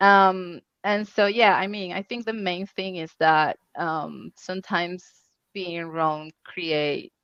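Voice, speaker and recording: A woman with a Spanish accent, medium in pitch, at a very slow pace, her loudness swinging widely and her intonation fairly even. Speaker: UX researcher. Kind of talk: conference Q&A panel. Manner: halting.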